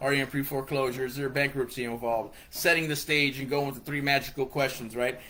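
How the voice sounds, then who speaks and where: A man talks at a very fast pace with hardly any pauses. His tone is animated. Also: fairly high pitch for a man. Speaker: real estate investing coach. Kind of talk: online tutorial.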